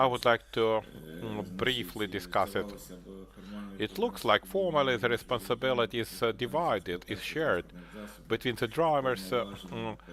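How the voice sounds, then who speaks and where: A man speaks with a Ukrainian accent and lively intonation. His voice has vocal fry. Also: medium pitch for a man, moderate pace. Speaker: conference presenter. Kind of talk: conference presentation. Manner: halting, many hesitations.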